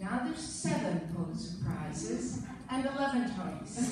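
A woman with a fairly low pitch, very wide pitch swings and a moderate pace, over noticeable background noise. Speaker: theatre critic. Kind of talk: onstage interviewer questions. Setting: auditorium.

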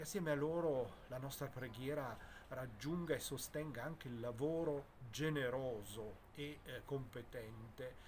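Light background noise sits behind a man speaking fairly slowly at a medium pitch with ordinary pitch variation. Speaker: bishop. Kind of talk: pastoral address to the faithful. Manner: calm, reassuring. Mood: calm, comforting. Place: garden.

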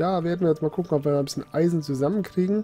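With music in the background, a man speaks at a high pitch with ordinary pitch variation. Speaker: let's player. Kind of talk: casual let's play commentary.

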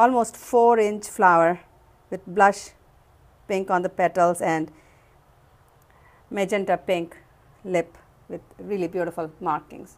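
The speech moves at a fairly slow pace with long, frequent pauses. Intonation stays fairly even. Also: woman. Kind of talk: casual show-and-tell narration. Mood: calm, admiring. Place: home room. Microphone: phone near.

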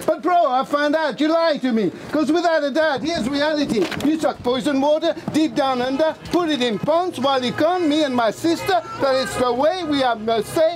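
This man has an extremely high pitch with ordinary pitch variation. He speaks at a moderate pace over noticeable background noise. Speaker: protest poet. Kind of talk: spoken word performance. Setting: outdoors. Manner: passionate. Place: street. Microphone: camera far.

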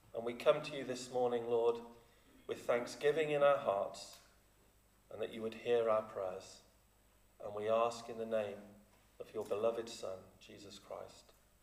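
A man speaks with long, frequent pauses and big swings in loudness, and audible room echo surrounds his voice. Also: moderate pace. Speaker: minister leading worship. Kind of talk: prayer. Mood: calm, reverent. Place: church. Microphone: podium.

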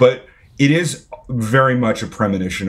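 A man at a moderate pace over a quiet background. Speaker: podcast guest. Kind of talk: interview answer. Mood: serious, thoughtful. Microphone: earbuds.

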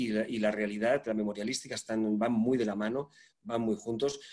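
A man's fairly even intonation carries over a quiet background. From Spain. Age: 60s. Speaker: journalist and interviewer; journalist, interviewer. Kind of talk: literary conversation. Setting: online event. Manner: halting. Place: home room. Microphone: video call.

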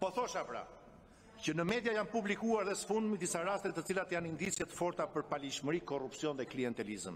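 A man with a high voice talks at a very fast pace with lively intonation over light background noise. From Albania. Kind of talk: parliamentary speech. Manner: formal. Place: meeting room. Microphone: podium.

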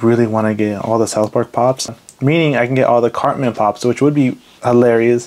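The speaker's intonation is fairly even, with noticeable background noise behind the voice. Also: man. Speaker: YouTube collector. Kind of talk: casual video monologue. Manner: filler-heavy, casual.

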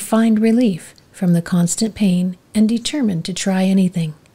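Calm and gentle in tone, a woman's somewhat breathy voice also sounds dark and mellow. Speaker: life coach. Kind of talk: soothing storytelling narration of a parable, read aloud. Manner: calm, slow and gentle, relaxation-paced; even, measured storyteller delivery, voicing characters' lines lightly.

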